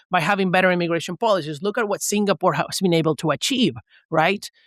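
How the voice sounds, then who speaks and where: A man with a Venezuelan accent at a very fast pace, in a very clean recording with a silent background and a dry, close sound with no echo. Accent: mild Venezuelan Spanish. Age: 20s. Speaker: economist. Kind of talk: podcast interview.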